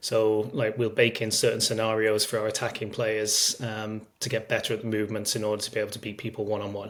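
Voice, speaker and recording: A man with a Manchester accent talks at a very fast pace, barely stopping for any pauses. His fairly low voice stays monotone and flat. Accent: English, Manchester area. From northern England, Cheshire near Manchester. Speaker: strength and conditioning coach, sports scientist. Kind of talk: podcast interview. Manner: hesitant, many fillers.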